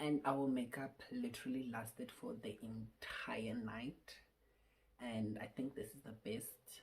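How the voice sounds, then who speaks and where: With a very deep, low pitch, a woman speaks at a fairly slow pace in a somewhat breathy voice, her intonation fairly even but her loudness swinging widely. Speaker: beauty vlogger. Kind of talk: tutorial. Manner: casual; halting.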